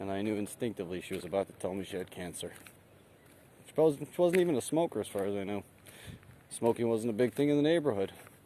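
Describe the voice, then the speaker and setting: A man with a fairly low pitch and a dark, mellow tone talks at a very fast pace, using very wide pitch swings, big swings in loudness, and long, frequent pauses. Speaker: vlogger. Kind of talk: casual walking vlog. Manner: casual, rambling.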